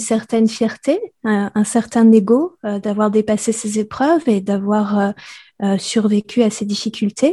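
At a very slow pace against a quiet background, a woman speaks with a fairly high pitch, a dark, mellow tone, some breathiness and ordinary pitch variation. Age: 40s. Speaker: podcaster and sensitivity coach. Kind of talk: interview. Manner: hesitant, many filler sounds.

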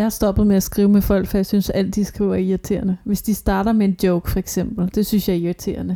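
A woman speaks at a very fast pace in a monotone, flat delivery. Her tone is dark and mellow. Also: medium pitch for a woman, very even loudness. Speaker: podcast co-host. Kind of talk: casual chat. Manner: ironic, dry delivery.

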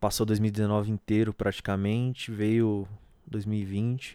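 A man speaks very slowly in a fairly low pitch, with a dark, mellow tone and monotone, flat intonation. The recording is very clean and dry, close with no echo, against a silent background. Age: 20s. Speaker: solo podcaster. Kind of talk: casual personal monologue. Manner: halting.

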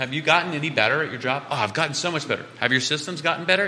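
There is a man talking. Background noise is clearly noticeable. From Louisiana, Cajun. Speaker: education company CEO. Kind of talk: radio interview.

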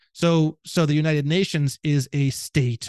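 An animated man with a Midwestern American accent is heard against a quiet background, the sound dry and close with no echo. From northwest Indiana, near Gary. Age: 30s. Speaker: legal researcher and podcaster. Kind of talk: casual chat. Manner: loud.

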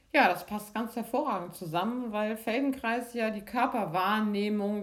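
In an ordinary speaking voice, a woman with fairly high pitch and ordinary pitch variation speaks at a fairly slow pace. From Lübeck, northern Germany, raised from 14 in Freiburg. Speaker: physiotherapist and movement teacher. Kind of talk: guided movement lesson; interview. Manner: calm, slow instructional.

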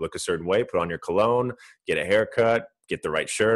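A man at a moderate pace, dry and close with no echo, over a quiet background. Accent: American. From US West Coast, Orange County, California. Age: 30s. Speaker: entrepreneur and personal trainer. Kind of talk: podcast interview.

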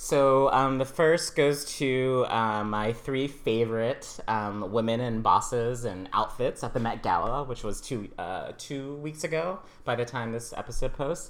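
A very slow pace against noticeable background noise. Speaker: podcast host. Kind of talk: casual interview chat.

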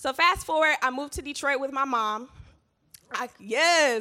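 A woman projects a raised, high-pitched voice with a bright, sharp, animated tone. Her pitch swings very widely at a moderate pace. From US South, Georgia. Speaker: church speaker. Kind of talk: testimony talk.

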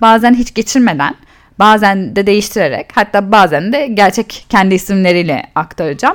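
A woman with an unremarkable speaking voice talks at a medium pitch. Her pace is fairly quick and her intonation lively. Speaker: podcast host and cosmetics entrepreneur. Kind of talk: solo storytelling podcast.

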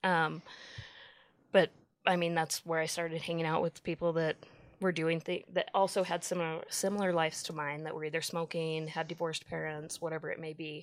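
Speaking with an American accent, a woman moves at a fairly quick pace. Her pitch is fairly low, and her intonation is monotone and flat. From Utah. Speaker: recovered addict, social worker at a treatment center. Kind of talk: interview testimony. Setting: studio.

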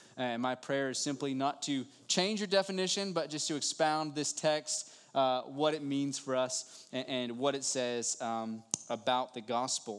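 A man speaks in an ordinary speaking voice at a fairly high pitch. His pace is fairly slow, with ordinary pitch variation. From West Virginia. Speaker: pastor. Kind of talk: sermon. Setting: church.

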